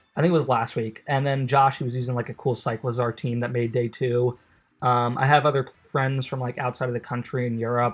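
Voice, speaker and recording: Delivered at a fairly quick pace in a New York accent, the speech is monotone, with flat intonation. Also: man, very clean recording, silent background. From US Northeast, New York. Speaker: gaming video creator. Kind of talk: casual gameplay commentary. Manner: casual, filler-heavy.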